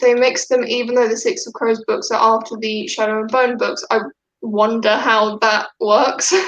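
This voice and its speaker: The pace is fairly slow. A woman speaks in a high pitch. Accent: British. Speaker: book YouTuber. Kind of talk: casual live stream chat.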